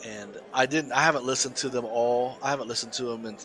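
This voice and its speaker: Crowd noise fills the background as a man with an American accent talks at a fairly quick pace. His intonation is monotone and flat. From US South. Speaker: podcast co-host. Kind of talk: casual chat. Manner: halting, many repeated words.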